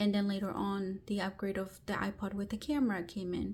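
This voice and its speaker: A woman speaks in a Spanish accent at a medium pitch, somewhat breathy. Her intonation is monotone and flat. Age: 30s. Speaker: book vlogger. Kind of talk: personal storytelling vlog. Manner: casual, with fillers and false starts.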